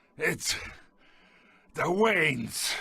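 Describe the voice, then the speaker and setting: Raspy and high-pitched, this man puts on a character voice. The act stays high throughout. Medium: video game.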